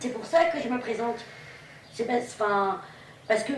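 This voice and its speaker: Amid noticeable background noise and audible room echo, a woman with a fairly high pitch and ordinary pitch variation speaks at a fairly quick pace. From Normandy, Pays de Caux near Yvetot. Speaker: political candidate. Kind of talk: campaign interview and discussion. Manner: hesitant, many fillers.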